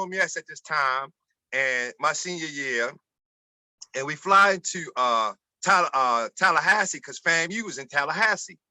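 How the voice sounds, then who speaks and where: Here is a man with a Baltimore accent and a bright, sharp tone. His loudness swings a lot. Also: dry, close sound with no echo. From Baltimore, Maryland, US. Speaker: former college basketball player. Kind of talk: interview storytelling.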